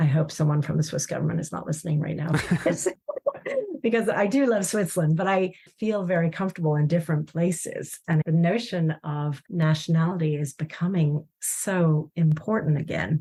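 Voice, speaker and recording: With an American accent, a woman talks at a fairly low pitch and ordinary pitch variation. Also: moderate pace. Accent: slight accent, often taken for American. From Chile. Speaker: corporate design executive. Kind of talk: podcast interview.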